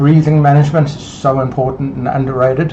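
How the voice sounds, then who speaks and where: A man talks at a fairly quick pace in a flat, monotone delivery. Noticeable background noise and audible room echo fill the recording. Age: 60s. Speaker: fitness coach. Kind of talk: casual talk to camera. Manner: halting, many fillers and repetitions.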